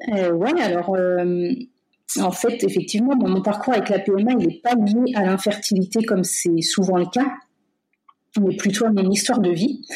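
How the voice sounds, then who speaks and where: A woman with a medium-pitched, somewhat breathy voice and a dark, mellow tone talks fairly slowly, with ordinary pitch variation, very even loudness and long, frequent pauses. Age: 30s. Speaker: medical-psychological care assistant. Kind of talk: personal testimony interview. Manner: hesitant, many fillers.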